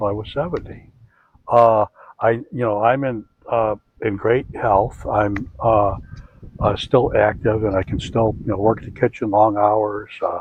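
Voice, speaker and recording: A man with a medium-pitched, a normal speaking voice talks at a moderate pace with fairly even intonation. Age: 60s. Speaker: chef. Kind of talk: casual chat.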